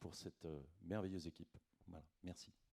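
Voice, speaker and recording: With a dark, mellow tone, a man speaks at a very deep, low pitch and with ordinary pitch variation. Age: 60s. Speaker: retired musician and sound engineer. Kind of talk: self-introduction at a meeting. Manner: hesitant, many fillers.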